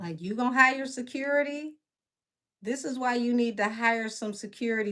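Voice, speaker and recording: Speaking in a strong Southern accent, a woman keeps a moderate pace with ordinary pitch variation. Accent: heavy Southern. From Detroit, west side. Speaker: tarot reader and live commentator. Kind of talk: casual livestream commentary. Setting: live stream. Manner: animated.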